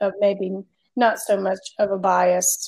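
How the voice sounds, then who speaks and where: This is a woman speaking at a medium pitch. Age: 40s. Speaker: podcast co-host. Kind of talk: casual chat.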